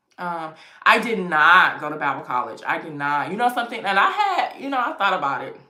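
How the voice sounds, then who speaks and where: There is audible room echo as a woman with an American accent speaks at a fairly quick pace. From US East Coast. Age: 30s. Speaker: lifestyle YouTuber. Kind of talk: livestream chat. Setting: home livestream with ring light. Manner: casual, conversational.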